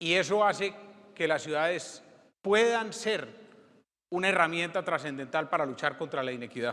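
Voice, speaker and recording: A man speaks at a moderate pace in a high voice with lively intonation and a bright, sharp tone. He leaves long, frequent pauses. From Colombia. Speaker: former mayor, politician. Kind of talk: conference keynote. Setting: stage with audience. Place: hall.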